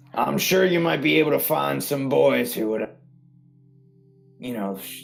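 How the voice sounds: A raspy, put-on character voice speaks with music playing in the background. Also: man.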